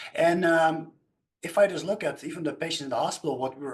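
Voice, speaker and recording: Talking at a very fast pace with ordinary pitch variation, a man speaks with a Dutch accent. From Netherlands. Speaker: nutrition scientist. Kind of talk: panel discussion. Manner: halting.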